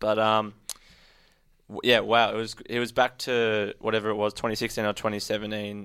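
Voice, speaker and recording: With an Australian accent, a man talks at a fairly low pitch and moderate pace in a monotone, flat delivery. The recording is very clean and the background silent. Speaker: podcast co-host, footy fan. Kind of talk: casual banter. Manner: joking, teasing.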